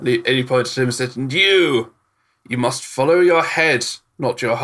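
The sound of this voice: An unforced reading voice carries lively intonation over a quiet background.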